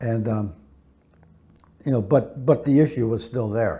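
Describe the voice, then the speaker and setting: The tone is dark and mellow, a little breathy, and the delivery runs fairly quickly with fairly even intonation. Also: man. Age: 70s. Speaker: criminal defense attorney. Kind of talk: interview answer. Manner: casual, conversational, with fillers.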